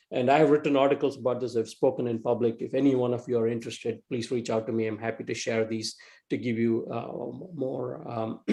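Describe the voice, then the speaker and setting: Speaking very fast with an Indian accent, a man keeps a medium pitch and fairly even intonation. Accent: East Indian. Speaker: entrepreneur and tech executive. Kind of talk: talk to a club meeting. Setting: video call. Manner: halting, many fillers and repeats.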